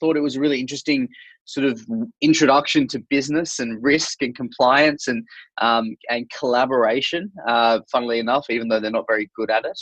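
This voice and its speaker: Someone with an Australian accent speaks at a fairly quick pace with fairly even intonation, the sound dry and close with no echo against a quiet background. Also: man, medium pitch for a man. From Australia, Sydney. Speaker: startup founder and author. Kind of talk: podcast interview. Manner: hesitant, many fillers and repetitions.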